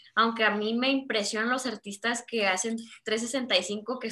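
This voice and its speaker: At a fairly slow pace, a woman speaks with fairly even intonation and a fairly high pitch in a bright, sharp tone. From Mexico. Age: 20s. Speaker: visual artist. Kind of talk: interview conversation.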